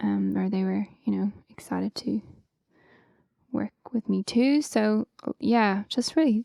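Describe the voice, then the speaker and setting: A very slow pace with a slight Irish accent and a dry, close sound with no echo. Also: woman. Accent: Irish, slight lilt. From Ireland, County Wicklow. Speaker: singer-songwriter. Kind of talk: interview. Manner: casual, many fillers.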